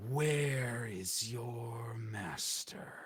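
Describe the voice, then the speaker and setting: Someone puts on a low, raspy character voice, and an echo can be heard. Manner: different voice from the narrator.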